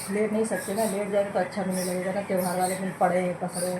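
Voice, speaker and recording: With monotone, flat intonation and a medium pitch, a woman speaks at a moderate pace amid noticeable background noise and audible room echo. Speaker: family vlogger, homemaker. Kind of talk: casual vlog talk. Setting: at home.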